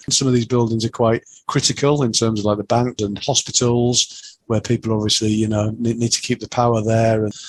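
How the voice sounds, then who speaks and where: At a fairly quick pace, a man speaks at a medium pitch with monotone, flat intonation in a dry, close sound with no echo. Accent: Yorkshire. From Yorkshire, northern England. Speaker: chartered engineer. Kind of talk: interview.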